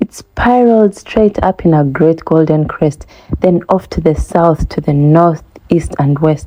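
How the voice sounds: This woman has a low voice with a dark, mellow tone. She talks fairly slowly with ordinary pitch variation.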